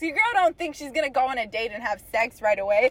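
Speaking fairly quickly in an American accent, a woman swings her pitch very widely over noticeable background noise. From Texas, Corpus Christi. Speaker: podcast guest. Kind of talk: casual chat.

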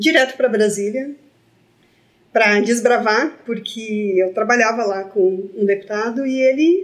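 This woman has a normal speaking voice with a fairly high pitch. She speaks at a moderate pace with lively intonation. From Brazil, Santa Cruz do Sul, Rio Grande do Sul. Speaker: entrepreneur, co-founder. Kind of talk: casual chat. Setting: studio.

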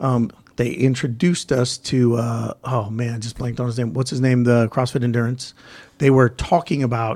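With an American accent, a man speaks in a normal speaking voice at medium pitch, moderate pace, and fairly even intonation. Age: 40s. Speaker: gym owner and podcast host. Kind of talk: casual chat.

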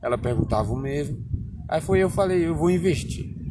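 A man talks at a moderate pace, his pitch swinging very widely. Audible room echo and noticeable background noise surround him. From Bahia, Brazil (Barreiras; born in Alagoas). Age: 20s. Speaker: interviewee, local resident. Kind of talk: casual interview. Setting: outdoors in a town square.

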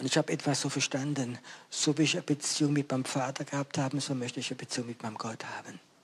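A man's fairly high voice, very fast, with fairly even intonation. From France. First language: French (speaking German). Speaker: evangelist preacher. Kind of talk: sermon.

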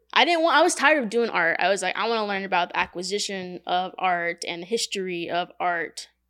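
With an American accent, a woman speaks at a fairly quick pace in a medium pitch. Her pitch varies in an ordinary way, and it is an ordinary speaking voice. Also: very clean recording, silent background. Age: 20s. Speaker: tattoo artist. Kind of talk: casual chat. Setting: tattoo studio.

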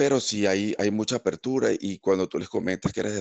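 In a Caracas accent, a man speaks at a moderate pace. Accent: Venezuelan (Caracas) Spanish. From Venezuela, Caracas. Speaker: engineer and immigrant. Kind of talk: interview. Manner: halting, with many repeated words.

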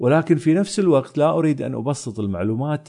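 A dark, mellow voice with very wide pitch swings, a moderate pace and a quiet background. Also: man. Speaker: science podcast host. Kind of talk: solo podcast monologue reading listener mail.

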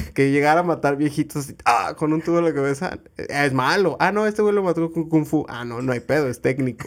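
On a very clean recording with a silent background, a man with a fairly high pitch and ordinary pitch variation speaks at a fairly quick pace with hardly any pauses. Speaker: podcast co-host and editor. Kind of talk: casual chat.

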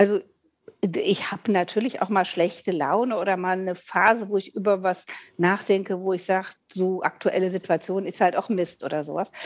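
Moderately paced speech from a woman, medium in pitch and fairly even in intonation. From Rhineland, Eifel region, Germany. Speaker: podcast co-host, voice actor. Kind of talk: casual chat.

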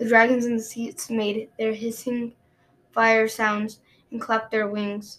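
The text is read aloud in a natural voice.

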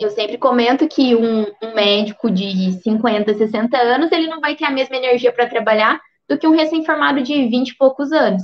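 Her pitch is high and her intonation lively. The woman talks with hardly any pauses. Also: moderate pace. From southern Minas Gerais, Brazil. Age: 20s. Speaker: doctor. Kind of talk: career talk on a livestream. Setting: online livestream.

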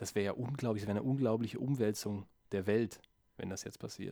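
A man talks at a moderate pace in a fairly low voice. His intonation stays flat and monotone. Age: 20s. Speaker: podcast co-host, writer. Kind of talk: casual chat. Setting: home studio with mixing desk. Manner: serious, TV-expert-like tone.

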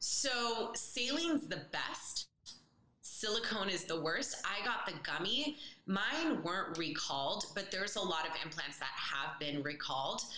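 A woman with an American accent, medium in pitch, with very wide pitch swings and a fairly slow pace, amid audible room echo and noticeable background noise. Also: very even loudness. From US West Coast, San Francisco Bay Area, Colombian family. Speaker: holistic dietitian and fitness trainer. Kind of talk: casual interview chat.

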